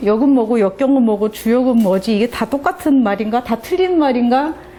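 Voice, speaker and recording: A woman's voice sits high in pitch. Noticeable background noise runs underneath. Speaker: divination teacher. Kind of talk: lecture.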